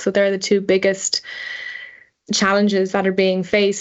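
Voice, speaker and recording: In an Irish accent, a woman talks at a fairly quick pace with monotone, flat intonation. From Ireland. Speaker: energy engineer. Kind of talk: podcast interview.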